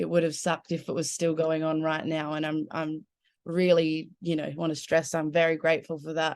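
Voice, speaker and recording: Talking at a fairly quick pace with an Australian accent, the woman has a very deep, low pitch and monotone, flat intonation. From Adelaide, South Australia. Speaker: musician. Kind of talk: casual chat. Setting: video call from her bedroom.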